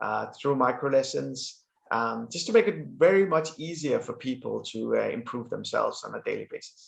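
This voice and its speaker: A man with a Danish accent talks at a moderate pace. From Denmark. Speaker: business executive. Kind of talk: interview. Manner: hesitant, many fillers.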